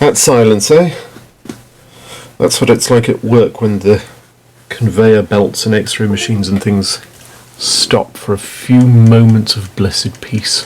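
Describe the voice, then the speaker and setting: A mumbling man with a medium-pitched voice, fairly slow and fairly even in intonation, with long, frequent pauses. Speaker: gaming streamer. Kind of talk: casual gameplay commentary.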